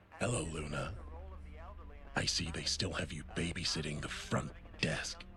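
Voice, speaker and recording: A man uses a put-on character voice at a very deep, low pitch. Loud background noise runs underneath. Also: moderate pace. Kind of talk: hard-boiled voice-over. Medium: game stream. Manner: gravelly noir monotone, deadpan.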